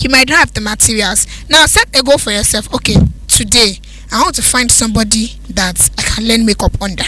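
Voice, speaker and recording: Over noticeable background noise, a woman's voice moves at a moderate pace. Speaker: radio presenter. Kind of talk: casual chat.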